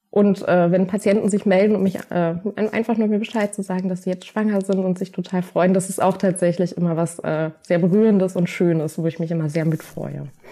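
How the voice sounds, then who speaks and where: Speaking at a fairly quick pace, a woman of medium pitch uses a dark, mellow tone and fairly even intonation. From Berlin, Germany. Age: 30s. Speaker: patient support worker with MS. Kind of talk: interview.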